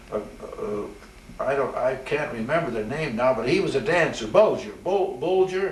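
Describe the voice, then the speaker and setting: Against noticeable background noise, a man with an American accent talks at a moderate pace with lively intonation. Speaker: retired Navy chaplain, WWII veteran. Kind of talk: interview answer.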